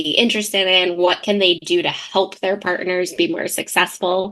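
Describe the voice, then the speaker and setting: Loud and bright with a sharp tone, a woman speaks at a medium pitch and a moderate pace. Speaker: CPA firm owner. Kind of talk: podcast interview. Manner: animated.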